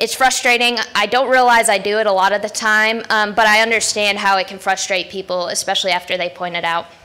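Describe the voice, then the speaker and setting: A woman races along very fast with hardly any pauses, noticeable background noise behind her. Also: medium pitch for a woman. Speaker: conference speaker. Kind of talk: conference talk. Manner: loud; blunt.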